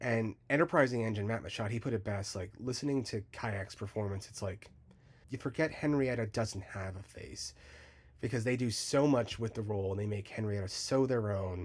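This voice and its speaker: Speaking with an American accent, a somewhat breathy man talks at a moderate pace with fairly low pitch and ordinary pitch variation. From United States. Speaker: fan film creator and voice actor. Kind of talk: casual interview. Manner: animated, frequent 'like' fillers.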